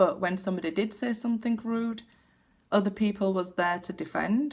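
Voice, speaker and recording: Her voice somewhat breathy, a woman speaks at a moderate pace with a medium pitch and ordinary pitch variation. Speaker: tarot card reader. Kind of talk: casual talk to camera. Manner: shaky when giving bad news.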